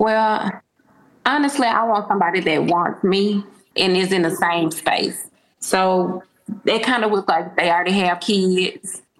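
A woman with a normal speaking voice talks at a fairly slow pace and medium pitch, her loudness very even and her pitch varying in an ordinary way. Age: 40s. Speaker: caller seeking dating advice. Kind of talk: casual chat.

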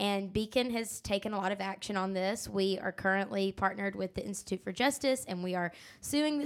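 On a very clean recording with a silent background, a woman speaks in a plain, everyday voice at a medium pitch, with ordinary pitch variation and a moderate pace. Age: 20s. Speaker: podcast host. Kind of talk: casual chat.

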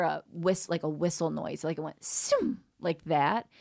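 A woman speaks in an unremarkable speaking voice. The recording is very clean, with a silent background. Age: 40s. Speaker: comedian and dating coach. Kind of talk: casual chat.

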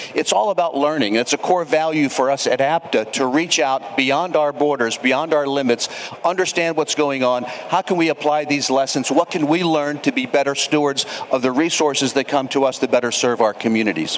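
A man's fairly high-pitched, fairly quick speech with ordinary pitch variation and very even loudness, amid noticeable background noise. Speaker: transit association CEO. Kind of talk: live panel discussion. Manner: energetic.

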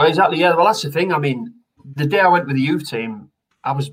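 A man with a Teesside accent and ordinary pitch variation. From northern England, Redcar near Middlesbrough. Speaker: retired footballer. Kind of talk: casual chat.

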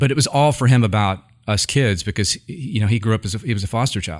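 On a very clean recording with a silent background, a man speaks fairly quickly with a West Coast accent. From Northern California (Yuba City). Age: 50s. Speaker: tech company CEO. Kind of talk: interview conversation.

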